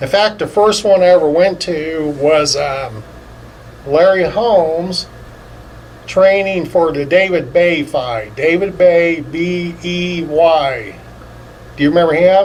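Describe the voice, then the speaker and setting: This man has a high pitch and talks at a very slow pace with ordinary pitch variation. Audible room echo and noticeable background noise are in the recording. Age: 60s. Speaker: insurance agent, boxing fan. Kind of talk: casual interview chat.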